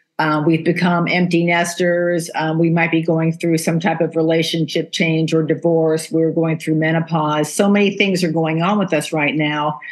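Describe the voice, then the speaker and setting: Amid noticeable background noise, a woman speaks in a fairly low voice with monotone, flat intonation and very even loudness. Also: moderate pace. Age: 60s. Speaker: podcast host. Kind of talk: interview conversation.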